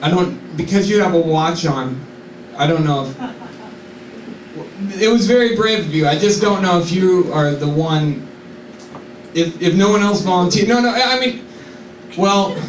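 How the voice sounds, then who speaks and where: Against light background noise and audible room echo, a man talks at a fairly slow pace with lively intonation. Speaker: comedian. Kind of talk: stand-up comedy bit. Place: stage.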